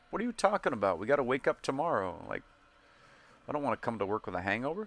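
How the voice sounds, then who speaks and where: With vocal fry and very wide pitch swings, a man of medium pitch talks at a very fast pace, the sound dry and close with no echo on a very clean recording with a silent background. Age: 30s. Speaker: gaming streamer. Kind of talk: casual chat over gameplay. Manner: sometimes slurred when speaking fast.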